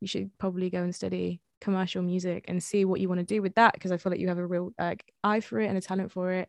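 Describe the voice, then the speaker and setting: This voice has an English Midlands accent and a very fast pace. The intonation is monotone and flat, and the sound is dry and close with no echo. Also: woman. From England, Leicester. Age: 20s. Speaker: music artist and producer. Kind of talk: interview.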